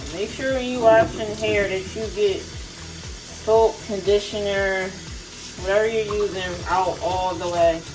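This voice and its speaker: Music plays in the background as a woman speaks at a very slow pace, with audible room echo. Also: medium pitch for a woman, ordinary pitch variation. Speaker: beauty vlogger. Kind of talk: tutorial. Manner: casual, many fillers.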